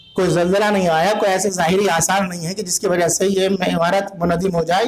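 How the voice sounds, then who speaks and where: Background noise is noticeable. The intonation stays fairly even. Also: man. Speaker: Shia Islamic scholar and preacher. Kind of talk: Islamic history sermon / religious lecture. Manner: narrative, storytelling delivery.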